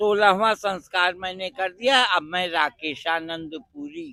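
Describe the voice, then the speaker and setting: Big swings in loudness and ordinary pitch variation. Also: man. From Rajasthan, India. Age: 70s. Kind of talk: interview. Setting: outdoors at a religious fair.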